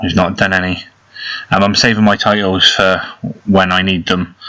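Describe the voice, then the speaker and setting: Flat and monotone, a man talks at a very fast pace with a very deep, low pitch. He speaks with an English accent. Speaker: mobile game youtuber. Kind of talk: gameplay commentary. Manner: casual.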